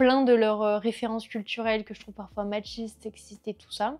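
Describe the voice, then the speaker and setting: A woman with a fairly high voice talks at a fairly quick pace against a quiet background. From rural south-west France. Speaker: culture vlogger. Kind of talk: casual monthly favourites vlog. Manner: casual, many hesitations.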